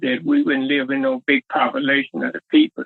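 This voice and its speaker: A man with a Southern US accent. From Southern United States. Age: 80s+. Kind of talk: interview answer.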